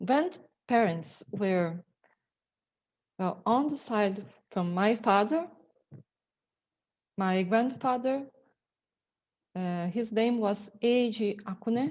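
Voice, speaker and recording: A woman in a Portuguese accent, with ordinary pitch variation and long, frequent pauses. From Brazil, São Paulo. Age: 50s. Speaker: lawyer. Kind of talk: presentation. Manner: halting.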